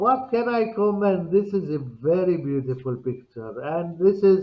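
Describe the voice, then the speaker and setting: The speech comes at a very slow pace in an Arabic accent. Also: man. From Palestine, Bethlehem. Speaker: interview guest. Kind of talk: casual chat. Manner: halting.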